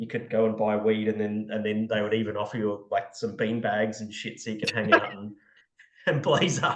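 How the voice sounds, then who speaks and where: Fairly low in pitch, a man speaks with an Australian accent at a moderate pace. His intonation is monotone and flat. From Australia (Brisbane). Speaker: podcast co-host, beer industry consultant. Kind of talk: casual chat. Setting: remote call, speaker in Cape Town. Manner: casual, many fillers and restarts.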